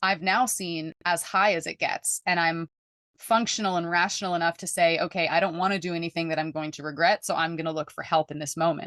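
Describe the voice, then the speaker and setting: A woman talks at a fairly quick pace in a fairly low voice with fairly even intonation, the sound dry and close with no echo. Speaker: holistic mental wellness coach. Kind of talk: testimony. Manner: fast.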